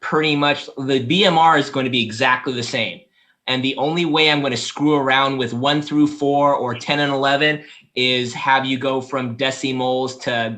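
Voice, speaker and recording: His voice sits at a medium pitch, and the man keeps his intonation fairly even. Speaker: lab instructor. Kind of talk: online class review session. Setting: video call. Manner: fast.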